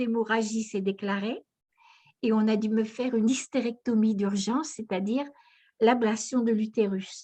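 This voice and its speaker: At a fairly slow pace, the voice sounds somewhat breathy, with ordinary pitch variation. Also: woman. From northern France (Aisne, near Saint-Quentin). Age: 80s+. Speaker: near-death experience witness, author. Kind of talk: testimony.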